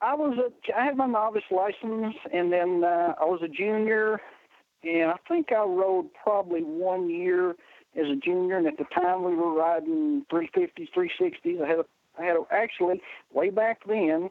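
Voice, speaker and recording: Lively in intonation and high in pitch, a man speaks at a very even loudness. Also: moderate pace. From Western Kentucky. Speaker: race promoter. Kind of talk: casual chat. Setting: phone call.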